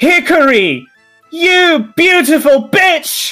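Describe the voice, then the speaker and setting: A high, put-on character voice at a very slow pace, with faint music in the background. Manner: loud, affectionate, exuberant.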